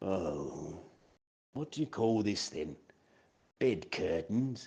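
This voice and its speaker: In a put-on character voice, a man speaks very slowly with a raspy, fairly low pitch and very wide pitch swings against a quiet background. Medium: stage play.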